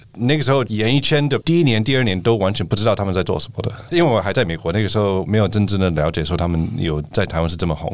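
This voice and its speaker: Amid noticeable background noise, a man with a fairly low pitch speaks at a very fast pace. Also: lively intonation, hardly any pauses. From United States. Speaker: venture capital partner. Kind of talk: interview.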